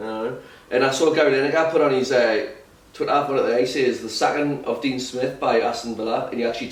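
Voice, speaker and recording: A medium-pitched man with a Geordie accent, fairly quick and fairly even in intonation, against noticeable background noise. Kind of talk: casual podcast banter.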